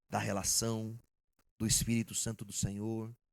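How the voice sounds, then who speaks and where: Speaking at a fairly slow pace, a man holds a medium pitch. His intonation is monotone and flat. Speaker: pastor. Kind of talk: sermon.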